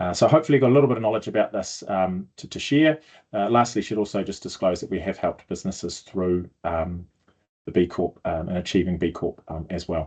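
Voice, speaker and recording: Against a quiet background, a man with a New Zealand accent speaks at a very deep, low pitch. His delivery is fairly quick, with lively intonation. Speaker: sustainability consultant. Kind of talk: video blog explainer. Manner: hesitant, many fillers.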